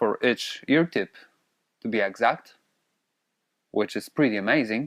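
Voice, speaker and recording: A man with a Polish accent speaks at a very slow pace, his voice dry and close with no echo. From Poland. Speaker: audio gear reviewer. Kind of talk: product review. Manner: hesitant with fillers.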